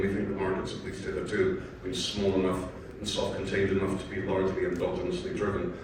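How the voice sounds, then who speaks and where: This is a man's voice. The recording has audible room echo and noticeable background noise. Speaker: panel moderator, investment manager. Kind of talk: conference panel discussion. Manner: loud.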